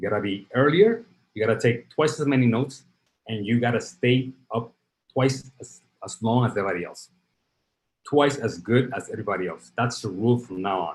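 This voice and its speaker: A man speaks with a Spanish accent. His voice is somewhat breathy and his pace fairly quick. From Dominican Republic, Santo Domingo; moved to South Bronx at 12. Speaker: startup founder and CEO. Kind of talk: interview.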